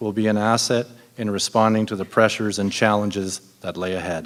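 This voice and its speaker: In a Canadian accent, a man speaks. His pace is very fast. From Ontario, Canada. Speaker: city councillor candidate. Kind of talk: prepared campaign speech.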